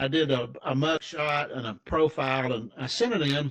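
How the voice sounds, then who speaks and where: This man with an American accent has a fairly high pitch and ordinary pitch variation. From Tennessee, US South. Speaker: financial advisor. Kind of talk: interview storytelling. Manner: casual, halting with false starts.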